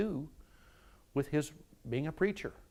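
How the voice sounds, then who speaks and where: A man speaks with an Appalachian accent. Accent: Appalachian Kentucky. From eastern Kentucky. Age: 60s. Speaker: retired university staff member. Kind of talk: oral history interview. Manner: repetitive stammering restarts.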